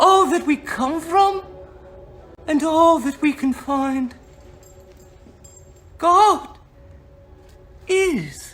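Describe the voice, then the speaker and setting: A put-on character voice speaks at a high pitch and a very slow pace. Long pauses come often. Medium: read story. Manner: gentle, calm.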